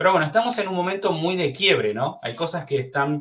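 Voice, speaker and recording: A man speaks in a bright voice. His tone has a sharp edge. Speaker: webinar presenter. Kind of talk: webinar presentation. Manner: fast.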